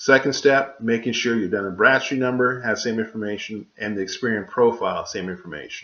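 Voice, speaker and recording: With ordinary pitch variation, a man speaks at a medium pitch and a fairly quick pace. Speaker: author and business credit educator. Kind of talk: tutorial. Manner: fast; hesitant with fillers.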